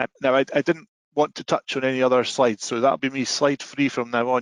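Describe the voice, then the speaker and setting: In a Scottish accent, monotone and flat, at a fairly quick pace, with a dry, close sound and no echo. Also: man. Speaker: software sales presenter. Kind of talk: webinar presentation. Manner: fast.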